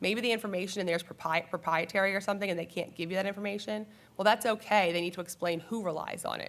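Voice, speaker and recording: At a very fast pace, a woman talks with a fairly even intonation. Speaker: trial attorney. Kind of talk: panel presentation.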